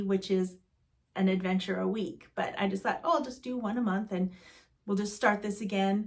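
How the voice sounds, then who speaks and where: With an American accent, a woman speaks in a somewhat breathy voice with ordinary pitch variation. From US Southwest, Arizona (East Valley, Mesa). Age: 60s. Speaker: vlogger. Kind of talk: casual chat. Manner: animated.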